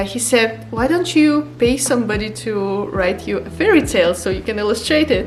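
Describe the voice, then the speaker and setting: Music plays in the background, and audible room echo surrounds the voice. A woman speaks with a non-native accent. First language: not English. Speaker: book illustrator, art vlogger. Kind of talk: casual vlog talk to camera. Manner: halting, with fillers and restarts.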